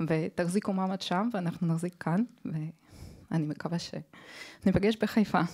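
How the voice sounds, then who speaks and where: Over a silent background in a very clean recording, a woman speaks at a very slow pace. Her pitch is fairly low and her intonation fairly even. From Israel, Haifa. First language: Hebrew (speaking Japanese). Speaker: audience member. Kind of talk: audience comment.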